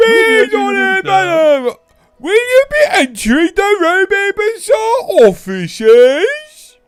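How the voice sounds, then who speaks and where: Putting on a character voice, a man talks at an extremely high pitch and a fairly slow pace while faint music plays behind him. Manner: annoying, exaggerated.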